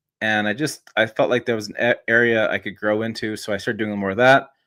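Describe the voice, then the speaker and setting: A man's medium-pitched voice at a fairly quick pace, on a very clean recording with a silent background. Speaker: truck journalist and YouTuber. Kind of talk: casual podcast interview. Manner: fast.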